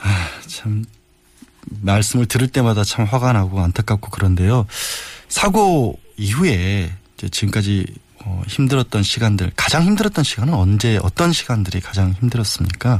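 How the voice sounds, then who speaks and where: A man at a moderate pace, fairly low in pitch, with ordinary pitch variation and a somewhat breathy voice. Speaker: substitute radio host, lawyer. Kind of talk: news interview. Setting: studio. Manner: halting.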